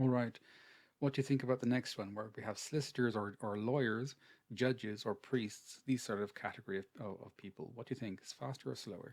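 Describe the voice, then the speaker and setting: In an Irish accent, a man talks at a fairly quick pace with fairly even intonation and big swings in loudness. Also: medium pitch for a man. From Ireland. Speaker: English teacher. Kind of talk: online language class.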